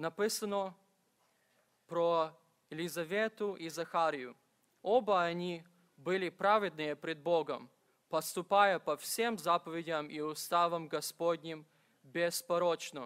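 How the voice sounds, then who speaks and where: A man's high voice at a fairly slow pace, with ordinary pitch variation, long, frequent pauses and a quiet background. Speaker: preacher. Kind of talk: sermon. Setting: church. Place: church. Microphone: podium.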